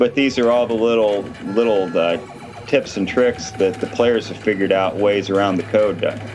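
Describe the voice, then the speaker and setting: A man with an American accent at a fairly low pitch and moderate pace, fairly even intonation, music in the background. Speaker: livestream host, gaming commentator. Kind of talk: casual live-stream chat.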